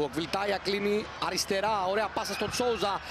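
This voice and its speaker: With noticeable background noise behind him, a man with a high pitch speaks in an excited tone at a moderate pace. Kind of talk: football commentary. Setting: highlights video voiceover. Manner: excited, rising intensity at goals and key chances.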